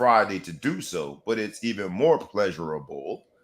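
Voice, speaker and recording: Very wide pitch swings mark this man's speech. He has a Southern US accent. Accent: Southern drawl. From US South. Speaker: sports talk show host. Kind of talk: sports talk show. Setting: studio with microphone, streamed live. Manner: animated.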